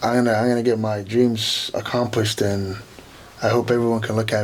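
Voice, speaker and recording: A man's monotone, flat delivery at a fairly quick pace amid noticeable background noise. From Kenya, East Africa. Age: 20s. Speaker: professional wrestler. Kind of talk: interview. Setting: studio.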